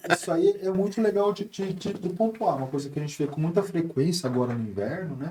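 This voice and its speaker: A man's high voice moves at a fairly quick pace with lively intonation and hardly any pauses. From Brazil, Taubaté (São Paulo state). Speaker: ENT doctor. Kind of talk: podcast interview.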